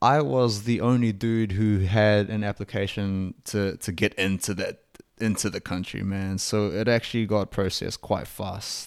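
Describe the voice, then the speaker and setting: On a very clean recording with a silent background, the speaker uses fairly even intonation at a moderate pace in a New Zealand accent. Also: man, fairly low pitch for a man. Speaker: podcast host. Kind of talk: casual monologue. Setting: home recording.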